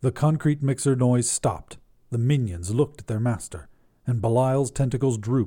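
The voice is natural. It is reading something aloud.

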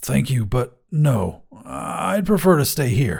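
A man puts on a raspy character voice at medium pitch. He goes at a fairly slow pace with very wide pitch swings. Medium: read story.

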